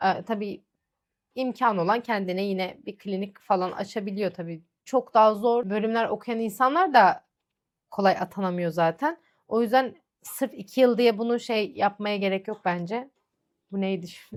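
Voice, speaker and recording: Medium in pitch, a woman speaks in an unremarkable speaking voice. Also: ordinary pitch variation, fairly slow pace. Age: 20s. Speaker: lab technician and vlogger. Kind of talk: Q&A vlog, casual monologue. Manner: chatty, conversational.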